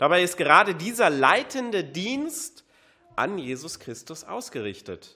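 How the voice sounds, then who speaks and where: A very slow male voice with vocal fry, very wide pitch swings and a bright, sharp tone. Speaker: preacher. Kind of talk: sermon. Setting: church service.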